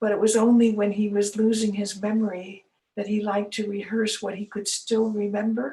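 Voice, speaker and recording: Somewhat breathy and fairly high-pitched, a woman talks at a moderate pace with an American accent. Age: 80s+. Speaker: elder giving a talk / storyteller. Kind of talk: casual talk to camera, autobiographical storytelling.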